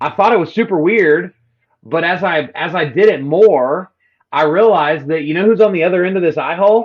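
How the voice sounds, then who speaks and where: Speaking with a Texan accent, a man talks in a high pitch. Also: ordinary pitch variation. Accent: Texan drawl. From Texas. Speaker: real estate agent and social media coach. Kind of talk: podcast interview.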